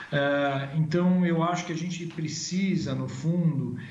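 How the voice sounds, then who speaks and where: The intonation stays fairly even at a fairly slow pace. Room echo can be heard. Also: man. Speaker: agribusiness consultancy executive. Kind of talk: live interview. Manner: halting, many filler sounds.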